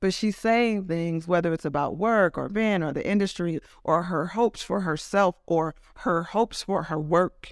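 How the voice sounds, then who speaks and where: In a very clean recording with a silent background, a woman speaks in an unremarkable speaking voice with an American accent. Her pitch is fairly low with ordinary variation, and her pace is moderate. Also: dry, close sound with no echo. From California, Oakland and Los Angeles. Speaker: music journalist and author. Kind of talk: interview.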